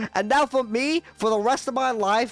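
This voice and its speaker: A British accent at a moderate pace, with music in the background. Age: 20s. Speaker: streamer. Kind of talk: live gaming stream chat. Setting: live stream. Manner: animated.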